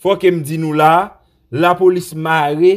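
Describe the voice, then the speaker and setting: His pitch sits fairly high and varies in an ordinary way. The man talks at a very slow pace. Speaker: Haitian news commentator. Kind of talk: news commentary. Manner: animated.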